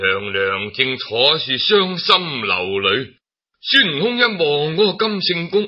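A man talks slowly at a fairly high pitch, his voice making big swings up and down.

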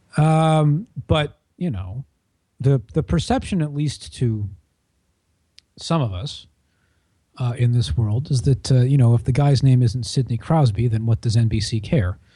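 Fairly slow, somewhat breathy speech in an American accent, with lively intonation, long, frequent pauses and a quiet background. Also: man, medium pitch for a man. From Washington DC area, US. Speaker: sports journalist. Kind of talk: podcast panel discussion. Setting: at the office.

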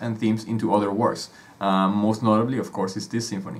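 A man with a Spanish accent speaks at a fairly low pitch. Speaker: music podcast co-host. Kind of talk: casual educational chat.

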